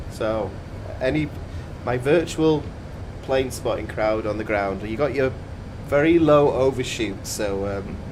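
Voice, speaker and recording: A medium-pitched man with lively intonation, fairly slow and with long, frequent pauses, amid audible room echo and noticeable background noise. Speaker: flight sim streamer. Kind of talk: casual chat. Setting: live stream. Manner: whispering.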